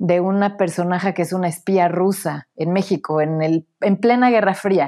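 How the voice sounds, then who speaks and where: The woman's pitch sits in the medium range. She speaks at a fairly slow pace with fairly even intonation. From Mexico, Puebla. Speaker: author and academic. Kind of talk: interview. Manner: halting, frequent repetitions.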